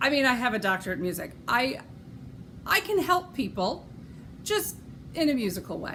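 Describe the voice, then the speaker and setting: In a western New York accent, a woman speaks with lively intonation at a moderate pace. Audible room echo surrounds her voice. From Rochester, New York. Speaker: knitting podcaster and opera singer. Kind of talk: casual podcast monologue. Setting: at home. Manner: chatty with many fillers.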